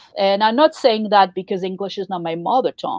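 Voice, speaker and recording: Speaking with a French accent, a woman moves at a fairly quick pace. Her pitch is medium, with ordinary variation. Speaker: poetry journal co-founder and show host. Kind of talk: casual chat.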